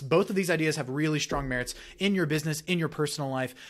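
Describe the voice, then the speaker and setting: A man with lively intonation against a quiet background. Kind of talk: educational talking-head commentary. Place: home room. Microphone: studio mic.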